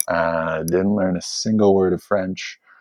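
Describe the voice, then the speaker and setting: A man's voice, dry and close-sounding with no echo. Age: 30s. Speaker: social media personality and film fan. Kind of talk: casual chat.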